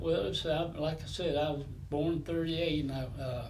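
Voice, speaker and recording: A man with a Southern US accent speaks at a fairly slow pace and fairly high pitch. His intonation stays fairly even over light background noise. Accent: Southern US (Georgia). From Atlanta, Georgia, US South; Georgia. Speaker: longtime neighborhood resident, former mill worker; interviewee. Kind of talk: oral history interview. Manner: halting. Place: home room.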